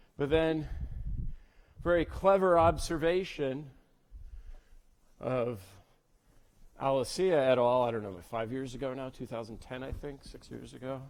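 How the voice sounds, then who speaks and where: Fairly slow speech from a man of medium pitch, ordinary pitch variation, long and frequent pauses, and audible room echo. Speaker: lecturer in theoretical physics. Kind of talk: lecture. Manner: halting, repeats words.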